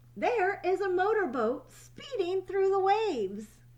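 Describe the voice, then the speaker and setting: Squeaky and extremely high-pitched, a woman's put-on character voice has a warm, gentle tone, very wide pitch swings and a fairly slow pace. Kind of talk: bedtime story. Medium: read story.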